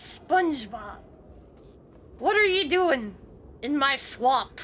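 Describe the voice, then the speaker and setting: A woman does a put-on character voice pitched high. She delivers it at a very slow pace. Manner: cartoonish, put on.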